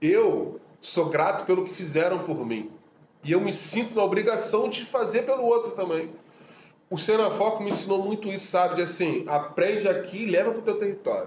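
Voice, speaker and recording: Amid noticeable background noise and audible room echo, a high-pitched man speaks at a moderate pace with ordinary pitch variation. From Rio de Janeiro, Complexo do Alemão. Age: 40s. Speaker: audiovisual teacher and social activist. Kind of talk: casual interview chat.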